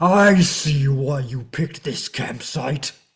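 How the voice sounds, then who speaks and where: The speaker uses a put-on character voice. It sits at a low-to-middle pitch and moves at a fairly slow pace. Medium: stage play. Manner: polite, gentle.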